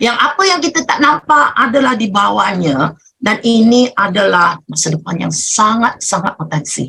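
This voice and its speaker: This woman's tone is bright and sharp, with a Malaysian accent. Her pitch swings very widely at a moderate pace. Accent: Malaysian Malay. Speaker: business leader. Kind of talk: motivational talk. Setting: video call.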